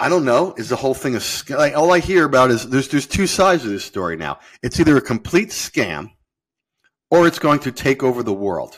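A man's medium-pitched voice with vocal fry and very wide pitch swings, a fairly quick pace, on a very clean recording with a silent background. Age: 50s. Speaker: futures trader and hedge fund manager. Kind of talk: interview. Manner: halting, many fillers and repetitions.

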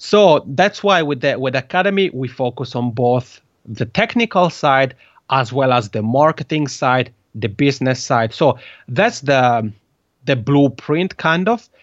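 A man with an Italian accent talks fairly slowly at a medium pitch, his intonation lively. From Italian-speaking Switzerland. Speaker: podcast consultant. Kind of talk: interview.

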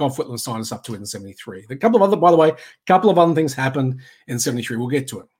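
A man with an Australian accent, very fast delivery, and ordinary pitch variation. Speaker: political commentary podcaster. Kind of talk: solo livestream monologue. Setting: live video stream.

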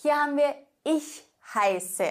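A woman is speaking. Her pitch swings very widely. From southern Germany, Swabian Alb. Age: 20s. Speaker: Spanish teacher. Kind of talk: language lesson tutorial.

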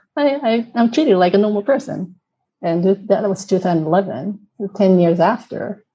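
A woman speaks with a Japanese accent at a medium pitch. Her tone is dark and mellow, and somewhat breathy. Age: 40s. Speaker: inclusion consultant. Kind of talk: interview.

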